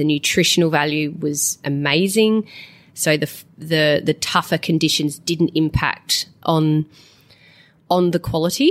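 A woman with an Australian accent talks at a fairly slow pace in a very deep, low pitch. Her intonation is fairly even, while her loudness swings widely. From South Australia. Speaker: farmer. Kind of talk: interview.

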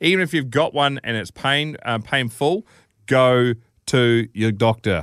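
A man with a New Zealand accent speaks at a fairly slow pace. His intonation is lively. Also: medium pitch for a man. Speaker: radio host. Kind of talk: casual chat. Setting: studio.

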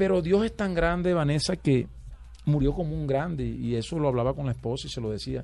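An ordinary speaking voice from a man, fairly high in pitch, with lively intonation and a fairly quick pace. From Colombian Caribbean coast, Valledupar. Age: 40s. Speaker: vallenato singer. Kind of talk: radio interview.

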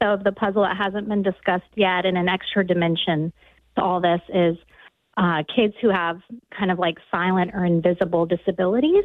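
Woman's medium-pitched, normal speaking voice with an American accent, a moderate pace and ordinary pitch variation. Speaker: caller. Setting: phone call.

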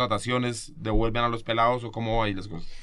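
Over noticeable background noise, a man with a Bogotá accent speaks at a very fast pace. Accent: Bogotano Colombian Spanish. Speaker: podcast host.

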